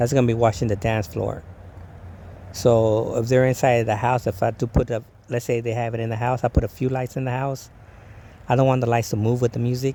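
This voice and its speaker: Mumbling at a fairly quick pace, a man with a medium pitch and a dark, mellow, relaxed tone sounds somewhat breathy and keeps his intonation fairly even. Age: 50s. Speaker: DJ vlogger. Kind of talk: casual vlog monologue. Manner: stuttering, mumbling.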